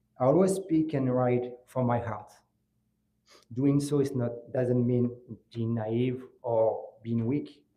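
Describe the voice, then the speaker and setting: A man with a French accent at a medium pitch, very slow, with long, frequent pauses, ordinary pitch variation and audible room echo. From France (Grigny, south of Paris), Moroccan family. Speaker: law student, scholarship essay winner. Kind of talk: memorial speech. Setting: ceremony with audience. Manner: halting.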